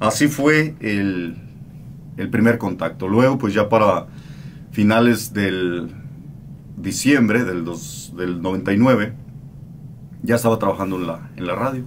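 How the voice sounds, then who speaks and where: Over light background noise, a man with a fairly low voice talks fairly slowly with ordinary pitch variation and long, frequent pauses. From Mexico. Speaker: radio host. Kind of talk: interview answer. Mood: calm, reflective. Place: studio. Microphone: studio mic.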